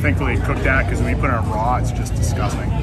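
Loud music plays behind this man. He talks at a very fast pace. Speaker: food reviewer. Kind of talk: casual review commentary. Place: street.

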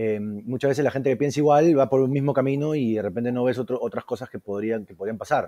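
A man's medium-pitched, dark, mellow voice at a very fast pace, with hardly any pauses and big swings in loudness. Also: ordinary pitch variation. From Peru. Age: 30s. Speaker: culinary school co-founder, chef. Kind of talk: casual interview.

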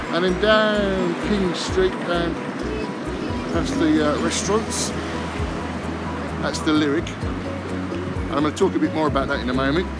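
A man at a fairly slow pace with long, frequent pauses and music in the background. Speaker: pub crawl guide. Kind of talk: casual vlog chat. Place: street. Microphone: phone near.

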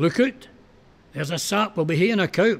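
A man talks at a fairly slow pace with a Scottish accent. His intonation is lively. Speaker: poetry reciter. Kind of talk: poetry reading.

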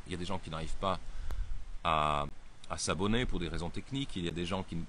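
At a fairly quick pace, a man with a very deep, low pitch and ordinary pitch variation talks amid audible room echo. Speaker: editor and political commentator. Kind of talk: solo video briefing. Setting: outdoors by the sea. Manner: speaking loudly.

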